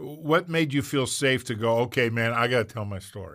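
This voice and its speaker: A man speaks at a moderate pace in a bright, sharp tone with ordinary pitch variation, on a very clean recording with a silent background. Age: 60s. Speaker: podcast host and pastor. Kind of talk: casual interview chat.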